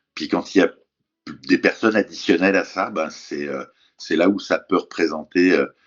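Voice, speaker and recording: His pace is moderate. The man stops often, leaving long pauses. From France. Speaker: stepfather interviewed about parenting. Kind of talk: interview conversation. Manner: halting, many hesitations.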